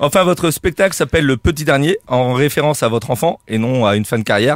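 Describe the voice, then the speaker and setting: Speaking in a Corsican accent at a very fast pace, a man with a fairly high pitch keeps very even loudness and ordinary pitch variation, the sound dry and close with no echo. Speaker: comedian radio columnist. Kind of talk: comic roast column.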